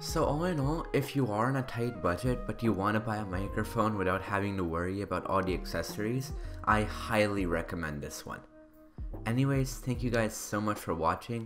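The speaker talks at a fairly quick pace. Music plays clearly in the background. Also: man, fairly low pitch for a man. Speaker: tech reviewer. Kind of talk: product review voice-over. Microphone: studio mic.

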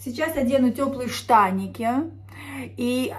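Ordinary pitch variation in a fairly high female voice. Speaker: vlogger. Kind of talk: casual vlog monologue. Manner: chatty, animated. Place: home room. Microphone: phone near.

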